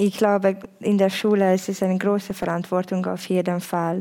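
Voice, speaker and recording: The woman's voice has a dark, mellow tone and monotone, flat intonation. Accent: Hungarian. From Hungary. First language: Hungarian (speaking German). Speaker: youth worker. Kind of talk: panel discussion. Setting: stage with audience.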